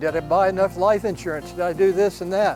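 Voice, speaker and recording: Noticeable background noise runs under this recording. A man talks at a high pitch with fairly even intonation. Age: 70s. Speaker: tennis player and cancer survivor. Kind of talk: interview testimony.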